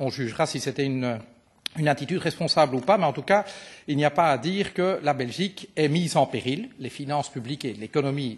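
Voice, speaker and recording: This man's voice sits fairly high for a man and is somewhat breathy, moving at a fairly quick pace with lively intonation. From Belgium. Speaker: politician. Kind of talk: parliamentary committee questioning. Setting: committee meeting.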